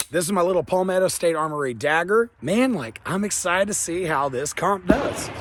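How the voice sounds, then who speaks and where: A man speaks at a high pitch with lively intonation. His pace is fairly quick, with noticeable background noise. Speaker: gun reviewer YouTuber. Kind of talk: product review. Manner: casual, filler-heavy.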